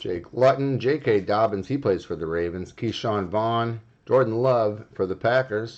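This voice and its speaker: An unremarkable speaking voice moves at a fairly slow pace with hardly any pauses and ordinary pitch variation over a quiet background. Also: man, medium pitch for a man. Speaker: sports card breaker. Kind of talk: live card break stream.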